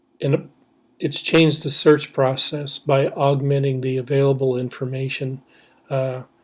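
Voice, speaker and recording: Somewhat breathy and fairly high in pitch, a man talks at a moderate pace in a monotone, flat intonation. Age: 60s. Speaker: professor. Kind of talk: lecture. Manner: halting.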